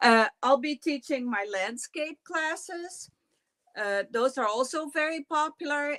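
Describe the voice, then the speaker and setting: Speaking very slowly with lively intonation, a woman with a Dutch accent comes through in a dry, close sound with no echo. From Netherlands. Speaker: quilting teacher. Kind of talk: interview. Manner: halting.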